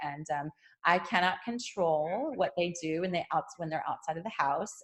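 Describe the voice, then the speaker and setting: Here a woman talks at medium pitch and a fairly quick pace. Her intonation is lively, and the background is quiet. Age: 40s. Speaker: vegan yoga teacher. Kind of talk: interview. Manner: casual, animated.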